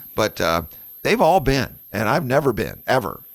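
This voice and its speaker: Vocal fry colors this man's moderate-paced speech, recorded very cleanly against a silent background. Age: 60s. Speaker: radio host. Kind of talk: casual chat.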